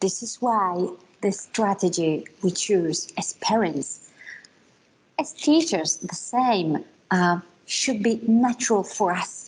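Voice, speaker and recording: A woman talks at a very slow pace with a non-native accent and lively intonation. Her voice is somewhat breathy. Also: medium pitch for a woman. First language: not English. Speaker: conference speaker on multilingual parenting. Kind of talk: conference talk. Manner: halting.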